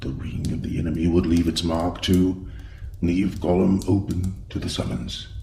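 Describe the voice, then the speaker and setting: Using a put-on character voice with a very deep, low pitch, a man talks at a moderate pace over clear background noise. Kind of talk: audio drama. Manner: grave, measured.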